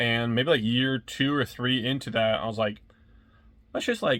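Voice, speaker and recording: With fairly even intonation, a man talks in a medium pitch. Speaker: YouTuber and reseller. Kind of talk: casual vlog. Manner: rambling.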